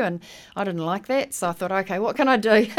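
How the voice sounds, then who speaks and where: In a New Zealand accent, a woman talks at a very fast pace. The recording is very clean, with a silent background. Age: 60s. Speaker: heritage seed saver and educator. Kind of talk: radio interview.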